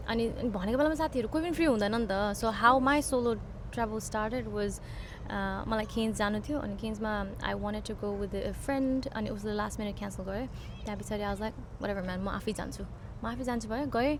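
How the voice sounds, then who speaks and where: Audible room echo colors this recording. A woman speaks at a moderate pace. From Nepal. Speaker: nurse. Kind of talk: casual chat. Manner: code-switching between English and Nepali.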